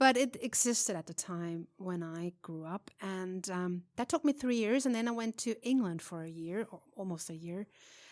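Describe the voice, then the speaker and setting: A woman's medium-pitched voice with a Swiss German accent, lively intonation and big swings in loudness. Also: moderate pace, dry, close sound with no echo. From Switzerland. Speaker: jazz singer. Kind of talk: interview. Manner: halting.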